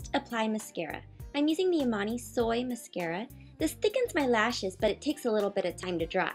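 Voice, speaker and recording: With music playing in the background, a woman talks at a very fast pace in a fairly high voice that swings very widely in pitch. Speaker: beauty vlogger. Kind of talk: makeup tutorial voiceover.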